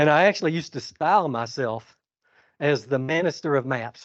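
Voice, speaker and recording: This man speaks with a Georgia accent at a fairly quick pace. His pitch sits fairly high. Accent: Georgia Southern US. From US South. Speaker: conservation scientist. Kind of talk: keynote speech. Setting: stage with audience. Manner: calm.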